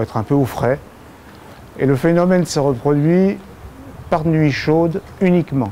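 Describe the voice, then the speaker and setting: Speech moves at a moderate pace with noticeable background noise underneath. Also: man. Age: 70s. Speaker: patient giving testimony. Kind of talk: testimony. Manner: hesitant, many filler sounds.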